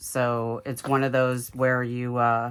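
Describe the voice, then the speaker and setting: In a Southern US accent, a woman speaks very slowly at a very deep, low pitch with monotone, flat intonation. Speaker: crafter, video creator. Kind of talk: craft tutorial. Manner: halting, many fillers; casual, chatty.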